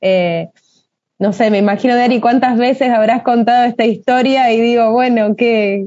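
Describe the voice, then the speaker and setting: A woman talks at a moderate pace with a fairly high pitch and fairly even intonation. She has a plain, everyday voice. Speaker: moderator. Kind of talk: interview.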